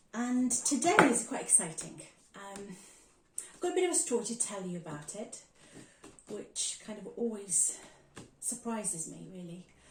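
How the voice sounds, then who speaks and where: A woman talks at a moderate pace, with very wide pitch swings and big swings in loudness. Long, frequent pauses break up her speech over noticeable background noise. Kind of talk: casual talk to camera, unboxing haul. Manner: excited, chatty.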